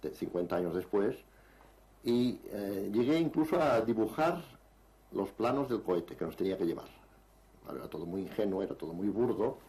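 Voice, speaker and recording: A man with a dark, mellow tone and a fairly low pitch speaks at a moderate pace, swinging very widely in pitch and leaving long, frequent pauses. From Spain, Barcelona (Catalonia). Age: 60s. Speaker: writer and UFO researcher. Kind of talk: interview. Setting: on location in a village near Barcelona.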